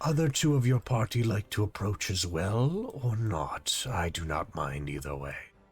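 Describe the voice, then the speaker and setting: Using a put-on character voice, a man with a fairly low pitch talks at a moderate pace with hardly any pauses. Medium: actual play. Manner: courteous, formal, calm.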